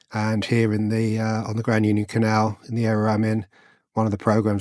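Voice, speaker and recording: In an English accent, the speaker goes at a fairly quick pace with monotone, flat intonation against a quiet background. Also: man. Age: 60s. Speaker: vlogger, retired soldier and police officer. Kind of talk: casual vlog talk. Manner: hesitant, many fillers.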